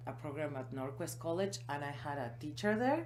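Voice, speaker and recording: Amid noticeable background noise and audible room echo, a woman with a non-native accent and a very deep, low pitch speaks with lively intonation. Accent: foreign. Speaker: small business owner. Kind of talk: interview.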